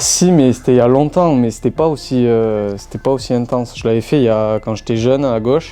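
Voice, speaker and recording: A man talks with a southern French accent and ordinary pitch variation. Music plays in the background. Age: 20s. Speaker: professional footballer. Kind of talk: interview answer.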